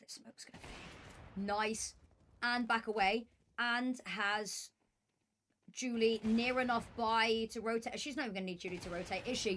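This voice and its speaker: A fairly high-pitched woman with a British accent, moderate pace, fairly even intonation and big swings in loudness. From Britain. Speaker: esports caster. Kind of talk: live commentary.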